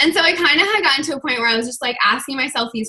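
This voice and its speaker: A woman uses a raised, projected voice. Her pitch swings very widely. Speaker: online fitness coach giving a talk. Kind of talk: team video call presentation. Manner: fast.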